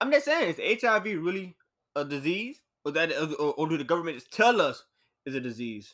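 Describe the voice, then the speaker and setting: In a very clean recording with a silent background, a man with a high voice speaks at a fairly quick pace in an animated tone, his pitch swinging very widely. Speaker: podcast host.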